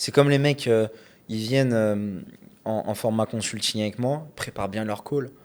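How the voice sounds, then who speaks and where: A man talks at a fairly slow pace with a slight Lyon accent. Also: medium pitch for a man, fairly even intonation. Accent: faint Lyon. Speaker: podcast host, e-commerce entrepreneur. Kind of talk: casual chat.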